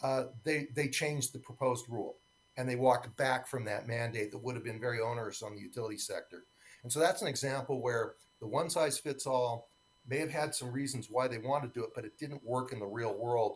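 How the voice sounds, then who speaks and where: Somewhat breathy, a man talks at a fairly quick pace in a medium-pitched voice with fairly even intonation. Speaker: electric cooperative industry advocate. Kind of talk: conference keynote speech. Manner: fast.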